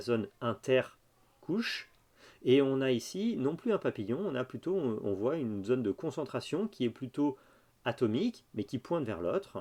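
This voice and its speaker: A man speaks at a fairly slow pace in a dark, mellow tone, his medium pitch swinging very widely, against a quiet background. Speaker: university lecturer. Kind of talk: lecture. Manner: hesitant, with fillers.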